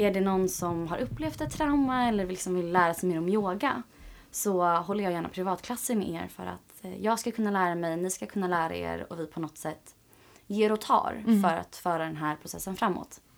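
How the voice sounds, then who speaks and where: Here is a woman with an ordinary speaking voice, pitched in the medium range. Her intonation is lively, and the recording is very clean with a silent background. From Sweden, Åkersberga. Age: 20s. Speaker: yoga teacher and project founder. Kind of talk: interview.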